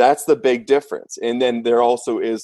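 A plain, everyday voice from a man, at a moderate pace with ordinary pitch variation, in a dry, close sound with no echo. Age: 20s. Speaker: medical device sales rep. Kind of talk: casual chat.

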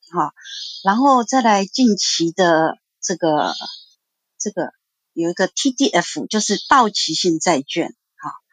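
A woman speaks very slowly with very wide pitch swings and long, frequent pauses, her sound dry and close with no echo. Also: medium pitch for a woman. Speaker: insurance agent, caller. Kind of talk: call-in testimony.

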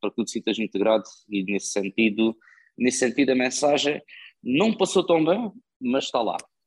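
Here a man talks at a fairly quick pace and medium pitch. He has an ordinary speaking voice. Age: 20s. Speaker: podcast host, film reviewer. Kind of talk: casual chat.

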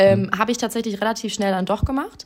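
Recorded very cleanly against a silent background, a woman speaks in an unremarkable speaking voice at a fairly high pitch with fairly even intonation. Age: 20s. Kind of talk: interview.

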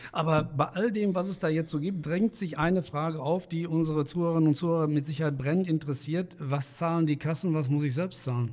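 At a very fast pace with hardly any pauses, a man talks in a fairly high voice with fairly even intonation. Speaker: podcast host. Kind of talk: interview. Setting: studio. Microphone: large studio microphone.

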